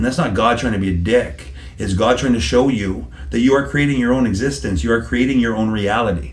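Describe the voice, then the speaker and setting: Delivered at a fairly quick pace with lively intonation and an animated tone, the voice comes through noticeable background noise and audible room echo. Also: man, medium pitch for a man. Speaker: psychic medium. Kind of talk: interview answer. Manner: repetitive, hesitant starts.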